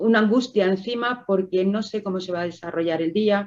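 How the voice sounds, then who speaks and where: Her voice is an unremarkable speaking voice, a woman's at medium pitch, moving at a moderate pace with fairly even intonation. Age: 60s. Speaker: COPD patient. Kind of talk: testimony.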